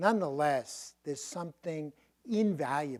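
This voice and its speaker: A man with a strong Brooklyn accent, at a fairly slow pace. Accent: thick Brooklyn. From Brooklyn, New York. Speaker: professor. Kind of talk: Q&A after a lecture.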